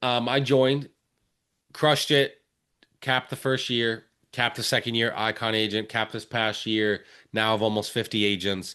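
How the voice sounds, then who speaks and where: A man with a Philadelphia accent and a bright, sharp tone talks at a moderate pace and medium pitch, with fairly even intonation and long, frequent pauses against a quiet background. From Philadelphia area, Pennsylvania. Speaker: real estate agent. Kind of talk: podcast interview.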